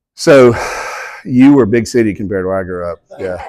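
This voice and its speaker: With a slight Southern accent, a man speaks at a medium pitch with ordinary pitch variation. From US South, southeast Georgia. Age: 50s. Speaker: author and guest speaker. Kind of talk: talk to an audience.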